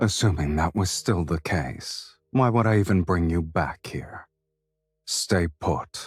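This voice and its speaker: A put-on character voice from a man, very deep and low in pitch, at a fairly slow pace. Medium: video game. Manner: cold, terse.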